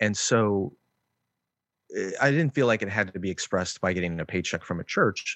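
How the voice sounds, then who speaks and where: A man's fairly low voice with a Chicago accent, ordinary pitch variation, a moderate pace and long, frequent pauses. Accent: Chicago-area American. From Chicago suburbs, US Midwest. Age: 40s. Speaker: author and minister, podcast co-host. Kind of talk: interview conversation.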